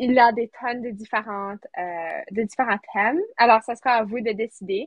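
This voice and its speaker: A woman speaks at a fairly slow pace. Her fairly high voice keeps fairly even intonation. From rural Manitoba, Canada (near Sainte-Anne). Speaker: student podcast co-host. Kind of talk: casual chat.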